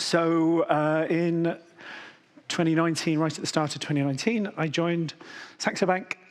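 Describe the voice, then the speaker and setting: A man speaks with a British accent. His pitch sits high. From Britain. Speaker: enterprise architect. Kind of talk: conference keynote.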